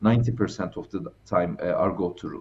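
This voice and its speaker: Somewhat breathy, a man has a dark, mellow tone. He speaks at a fairly slow pace. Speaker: remote guest. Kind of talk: interview answer. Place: home room. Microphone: headset.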